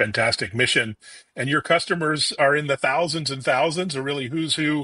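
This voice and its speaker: In a dry sound with no echo and a quiet background, a man talks at a moderate pace with a bright, sharp, upbeat tone. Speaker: tech interviewer. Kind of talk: interview. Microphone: video call.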